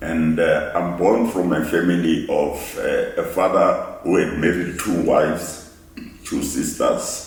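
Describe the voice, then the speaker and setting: There is audible room echo. A man speaks at a fairly slow pace. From South Africa, Pretoria. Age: 80s+. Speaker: playwright and actor. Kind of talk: interview. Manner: halting.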